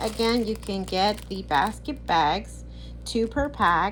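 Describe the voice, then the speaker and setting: This is a woman's voice. The room echo is audible. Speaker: product review vlogger. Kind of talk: casual haul video. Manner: halting, many restarts.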